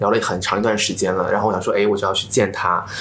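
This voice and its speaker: A man speaks with audible room echo. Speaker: social media influencer. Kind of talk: casual chat.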